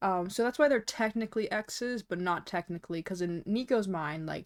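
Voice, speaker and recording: This woman speaks at a fairly quick pace with lively intonation and a medium pitch. The recording is very clean, with a silent background. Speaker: VTuber streamer. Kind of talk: casual livestream chat while drawing. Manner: mumbling; frequent fillers, casual. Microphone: sounds a bit quiet.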